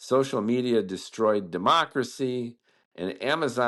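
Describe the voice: Against a quiet background, a passage gets plain reading aloud.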